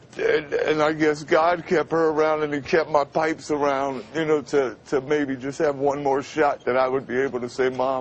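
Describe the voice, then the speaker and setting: A man with a fairly high pitch talks at a moderate pace with hardly any pauses. His intonation is monotone and flat, over noticeable background noise. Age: 50s. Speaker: radio announcer. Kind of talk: interview answer. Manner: hesitant.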